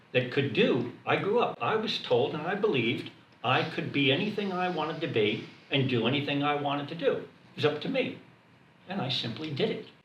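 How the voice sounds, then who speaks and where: A man with an American accent and lively intonation at a fairly high pitch, with audible room echo and noticeable background noise. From United States. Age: 70s. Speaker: retired government servant and veteran. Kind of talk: group discussion. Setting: room with a group.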